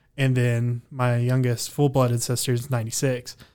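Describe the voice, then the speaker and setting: The background is silent on this very clean recording. A man talks at a moderate pace, his pitch medium. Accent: Texan. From Texas panhandle (Amarillo). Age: 20s. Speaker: musician. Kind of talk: casual chat.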